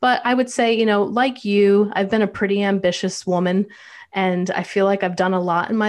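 An unremarkable speaking voice from a woman, medium in pitch, fairly quick, with fairly even intonation. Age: 40s. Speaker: mental health counselor and documentary producer. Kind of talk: interview.

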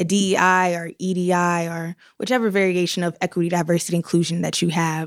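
A woman's ordinary speaking voice at medium pitch and moderate pace, with an American accent, dry and close with no echo in a very clean recording with a silent background. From US South, North Carolina. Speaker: university program manager. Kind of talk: interview, casual chat.

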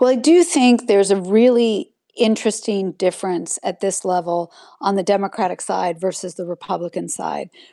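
Recorded very cleanly against a silent background, a woman of medium pitch talks at a moderate pace with a dark, mellow tone and ordinary pitch variation, the sound dry and close with no echo. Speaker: political science professor. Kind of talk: expert interview, analytical. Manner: measured, analytical.

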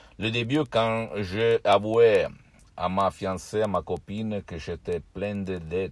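The speaker talks at a very slow pace in an Italian accent with ordinary pitch variation. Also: man. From southern Italy. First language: Italian (speaking French). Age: 50s. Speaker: hypnotherapist. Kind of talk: video monologue. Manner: halting, repetitive.

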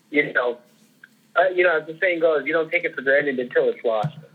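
A man with a fairly high voice talks at a moderate pace, his pitch rising and falling in an ordinary way. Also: long, frequent pauses. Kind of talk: casual sports podcast chat.

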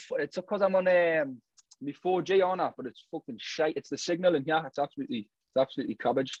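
A man's fairly high-pitched voice at a very fast pace, with a dry, close sound and no echo. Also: lively intonation. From Newcastle, northeast England. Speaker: drill artist. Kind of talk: casual interview chat.

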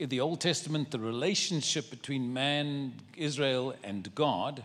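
In a very clean recording with a silent background, a man with a South African accent speaks at a fairly slow pace and fairly high pitch, with ordinary pitch variation. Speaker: travelling preacher. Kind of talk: sermon. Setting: church service.

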